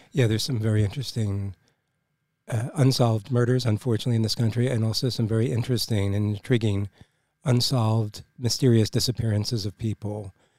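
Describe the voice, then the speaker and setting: Somewhat breathy and dark, mellow in tone, a man talks at a very fast pace with fairly even intonation, in a dry, close sound with no echo on a very clean recording with a silent background. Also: medium pitch for a man. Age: 60s. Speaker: podcast co-host. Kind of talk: casual podcast chat.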